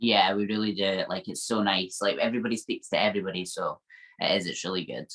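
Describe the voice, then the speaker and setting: Someone speaks at a very fast pace in an upbeat tone with a Scottish accent. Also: woman. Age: 20s. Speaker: IFBB fitness pro athlete. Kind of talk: interview answer. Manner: upbeat, positive.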